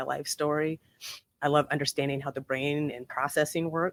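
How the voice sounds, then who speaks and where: A woman speaks with a very deep, low pitch. Her delivery is fairly quick and monotone, with flat intonation. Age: 50s. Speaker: transformational coach. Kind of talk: casual chat. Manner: halting.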